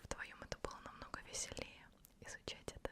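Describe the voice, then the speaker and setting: A woman whispering at a very fast pace over noticeable background noise. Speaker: ASMR creator. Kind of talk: ASMR talk to camera. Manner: whispered.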